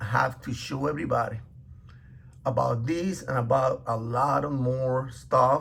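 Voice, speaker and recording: At a very slow pace, a man with a non-native accent speaks at medium pitch in a somewhat breathy voice. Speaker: religious teacher. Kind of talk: bible teaching. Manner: halting, many fillers.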